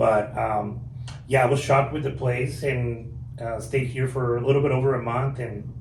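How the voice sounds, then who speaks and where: A man in a Guatemalan accent with monotone, flat intonation, amid noticeable background noise and audible room echo. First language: Spanish. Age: 30s. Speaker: car dealership manager. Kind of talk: podcast interview.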